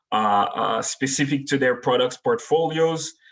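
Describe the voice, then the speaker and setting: A man talks with a Haitian accent. He keeps a moderate pace. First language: French and Haitian Creole. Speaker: technology manager. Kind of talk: webinar presentation. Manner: frequent filler words.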